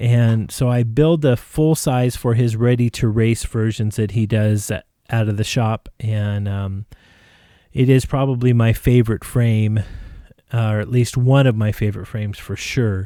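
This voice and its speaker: A man's dark, mellow tone and fairly even intonation in a very clean recording with a silent background. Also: medium pitch for a man. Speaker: drone builder. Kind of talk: product review tutorial. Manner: casual, halting with fillers.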